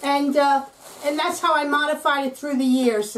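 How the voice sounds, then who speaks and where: A woman talks at a moderate pace. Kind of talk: tutorial. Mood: warm, relaxed. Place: kitchen. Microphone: camera far.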